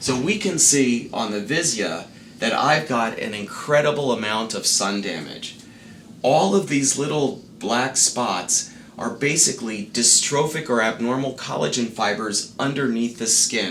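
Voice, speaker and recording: Speaking with an American accent, a man at medium pitch uses lively intonation at a fairly slow pace, with audible room echo and noticeable background noise. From US South, Miami Beach, Florida. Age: 60s. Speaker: dermatologist. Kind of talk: explainer to camera. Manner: formal.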